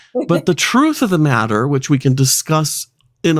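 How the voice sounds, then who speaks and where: Very wide pitch swings run through this moderately paced voice on a very clean recording with a silent background. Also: man. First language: not English. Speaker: podcast host. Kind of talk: casual chat. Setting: live stream.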